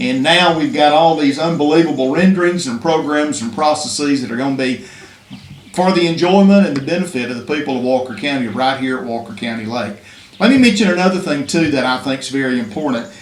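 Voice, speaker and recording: Talking at a very fast pace in an Alabama accent, a man uses lively intonation and a fairly high pitch amid audible room echo and noticeable background noise. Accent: Alabama Southern US. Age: 60s. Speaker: state legislator. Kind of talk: public speech at press conference. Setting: press conference.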